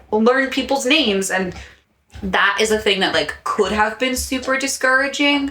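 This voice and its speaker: Loudness stays very even throughout. The pace is moderate, with ordinary pitch variation. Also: woman, high pitch for a woman. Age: 20s. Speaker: podcast co-host, Gen Z representative. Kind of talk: casual chat.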